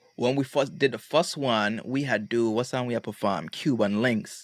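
This man speaks with a Virgin Islands accent. The recording is very clean, with a silent background. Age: 20s. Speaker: music producer. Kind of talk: casual chat.

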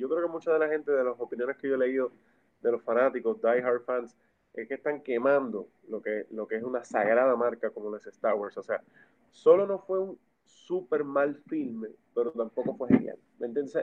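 This man's medium-pitched voice keeps ordinary pitch variation and a moderate pace. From Puerto Rico. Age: 30s. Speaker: film enthusiast and former music manager. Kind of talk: casual chat. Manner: animated.

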